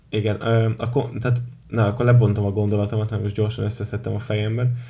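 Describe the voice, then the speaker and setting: A man with a fairly low pitch and a dark, mellow tone speaks somewhat breathily in a monotone, flat intonation. He keeps a moderate pace, with long, frequent pauses. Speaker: podcast host. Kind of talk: casual chat.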